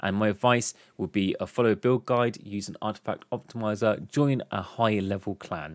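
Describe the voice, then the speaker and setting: Recorded dry with no echo, a man with a southern English accent talks using ordinary pitch variation. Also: quiet background. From southern England. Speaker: gaming YouTuber; gaming content creator. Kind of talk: tutorial; Q&A tutorial commentary. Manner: fast. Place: home room. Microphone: studio mic.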